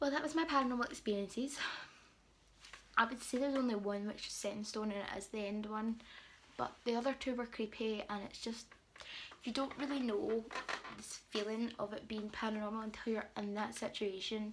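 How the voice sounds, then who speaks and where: Pausing long and often, a woman with a British accent speaks with fairly even intonation. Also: fairly high pitch for a woman, moderate pace. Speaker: beauty and lifestyle vlogger. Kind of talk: storytime vlog. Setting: at home, late night. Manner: quiet, subdued; casual, filler-heavy.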